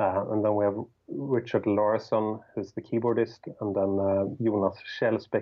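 Here a man speaks at a moderate pace with monotone, flat intonation. His loudness swings a lot. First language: Swedish. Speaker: rock guitarist and songwriter. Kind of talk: casual interview.

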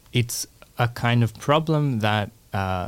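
The speaker is a man. He has an Australian accent. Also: very clean recording, silent background. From Australia, Melbourne. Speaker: environmental philosopher, assistant professor. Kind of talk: interview. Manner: hesitant with frequent fillers.

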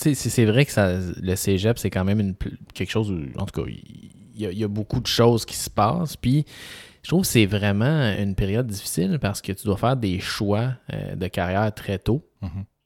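At a moderate pace, a man speaks at a fairly low pitch with ordinary pitch variation. The recording is very clean and dry, close with no echo, over a silent background. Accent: Quebec. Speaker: physician podcast co-host. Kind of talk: casual chat.

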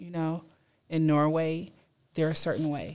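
Recorded very cleanly against a silent background, the speaker talks at a moderate pace with a Californian accent. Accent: Californian American English. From Los Angeles area, California. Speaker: university student. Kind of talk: casual discussion. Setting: studio.

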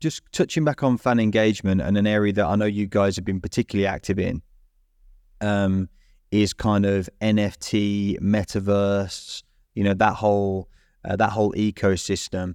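A man with a plain, everyday voice speaks at a fairly low pitch and a moderate pace, with fairly even intonation. The very clean recording has a silent background and a dry, close sound with no echo. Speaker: sponsorship director and co-host. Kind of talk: casual interview.

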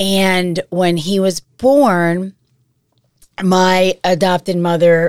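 A woman speaks very slowly in an American accent. Her intonation stays fairly even. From Massachusetts, US. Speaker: adoptee sharing her story. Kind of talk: personal testimony interview.

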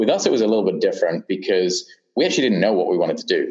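A man speaks with a British accent. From UK. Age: 30s. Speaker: startup founder and CEO. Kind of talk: interview. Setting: remote recording from Portland. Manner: halting, many fillers.

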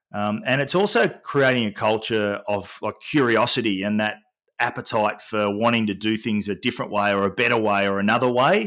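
The recording is very clean, with a silent background. A man with an Australian accent talks at a fairly quick pace, with a fairly low pitch and fairly even intonation. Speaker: sport culture and well-being consultant. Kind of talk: interview.

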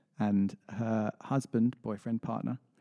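A man's dark, mellow tone sits at a fairly low pitch, with fairly even intonation and a moderate pace, in a dry, close sound with no echo. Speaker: radio host. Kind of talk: casual radio chat. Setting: radio studio. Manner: friendly, easygoing.

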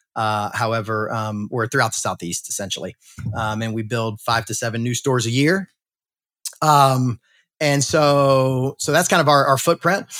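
Recorded dry and close with no echo, a man speaks at medium pitch in a bright, sharp tone with ordinary pitch variation. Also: moderate pace, very clean recording, silent background. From US South, South Carolina. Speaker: restaurant franchise executive. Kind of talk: interview. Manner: halting, many fillers.

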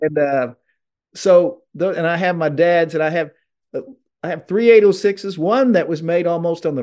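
Speaking with an American accent, a man has a high pitch and ordinary pitch variation. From southern Illinois. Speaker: TV host and tractor collector. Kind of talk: casual interview.

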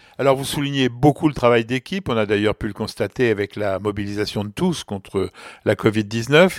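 A man with an unremarkable speaking voice talks at medium pitch and a moderate pace, with ordinary pitch variation. The recording is very clean and silent behind him, with a dry, close sound and no echo. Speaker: doctor and medical journalist, podcast host. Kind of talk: interview; storytelling.

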